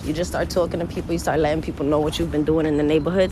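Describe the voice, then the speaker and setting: A woman speaks with a New York accent. Noticeable background noise and audible room echo surround her voice. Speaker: gardening vlogger. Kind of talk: casual vlog talk to camera. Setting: outdoors walking through the neighborhood. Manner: chatty, animated.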